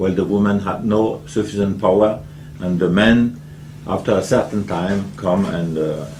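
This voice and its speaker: Amid noticeable background noise and audible room echo, a man speaks at a moderate pace. His pitch is fairly low, with ordinary variation. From Switzerland, Geneva. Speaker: development engineer and award-winning activist. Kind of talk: interview on stage. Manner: halting, hesitant non-native English.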